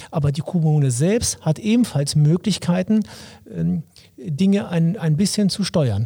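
His voice is high-pitched for a man, with a dark, mellow tone and very even loudness. He leaves long, frequent pauses. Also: lively intonation, fairly slow pace. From Lower Saxony, Wolfsburg. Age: 50s. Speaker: local mayoral candidate, police officer. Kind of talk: interview.

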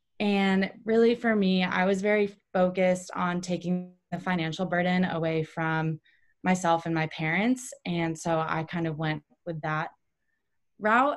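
A woman with a plain, everyday voice, fairly low in pitch, with ordinary pitch variation at a fairly slow pace. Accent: American. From Ohio, Cleveland area. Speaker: running coach and former pro runner. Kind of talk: interview.

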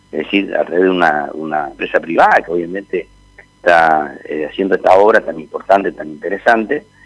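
A man talks fairly quickly amid noticeable background noise. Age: 60s. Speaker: town mayor. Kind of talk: radio interview. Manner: halting.

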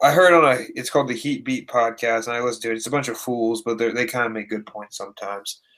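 A man with a Midwestern American accent at a fairly quick pace, in a very clean recording with a silent background. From Indiana. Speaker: basketball podcast co-host. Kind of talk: casual chat. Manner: animated.

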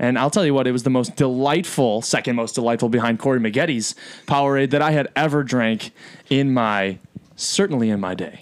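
A man talks at a fairly quick pace, his pitch medium with ordinary variation. His is a plain, everyday voice. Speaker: podcast co-host, college student. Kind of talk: casual chat.

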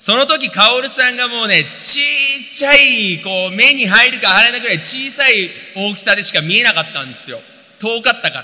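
A man's raised, projected voice at an extremely high pitch, with lively intonation, big swings in loudness and a fairly quick pace over noticeable background noise. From Japan, Tokyo. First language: Japanese (speaking Portuguese). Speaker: interpreter and businessman. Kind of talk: testimony on stage.

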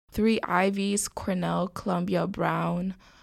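A voice with a New York accent comes through in a very clean recording with a silent background. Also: woman. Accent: New York (Bronx) English. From New York City, the Bronx. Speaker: college student. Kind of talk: casual chat.

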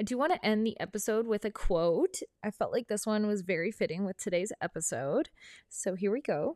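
A woman's unremarkable speaking voice in a Canadian accent, fairly high in pitch, with lively intonation and a fairly quick pace, dry and close with no echo, on a very clean recording with a silent background. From northern British Columbia, Canada. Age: 30s. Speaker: podcast host. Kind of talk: casual solo monologue. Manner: chatty, upbeat.

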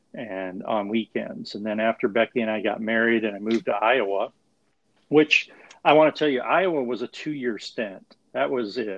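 A plain, everyday voice from a man with an American accent, medium in pitch, at a moderate pace with ordinary pitch variation. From Montana (small town). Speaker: AA sponsor, recovering alcoholic. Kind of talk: casual interview about recovery.

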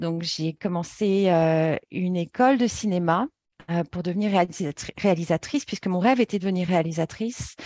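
A woman's plain, everyday voice, fairly slow, with ordinary pitch variation and a dry, close sound with no echo over a quiet background. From Paris, France. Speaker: yoga therapy trainer. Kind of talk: interview.

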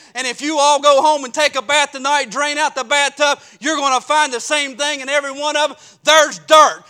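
In an American accent, a man projects his raised voice at an extremely high pitch, moving at a moderate pace with a bright, sharp tone. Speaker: Baptist preacher and pastor. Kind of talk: sermon. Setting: church.

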